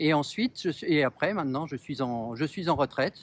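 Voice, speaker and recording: A man with a fairly high pitch and lively intonation is heard in a dry, close sound with no echo, on a very clean recording with a silent background. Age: 60s. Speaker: municipal election candidate. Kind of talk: interview. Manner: halting, many hesitations.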